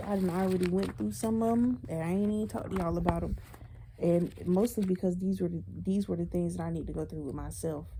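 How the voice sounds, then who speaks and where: A woman races through her words at a very fast rate, with clear background noise around her. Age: 20s. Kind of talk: casual talk to camera. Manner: casual, conversational.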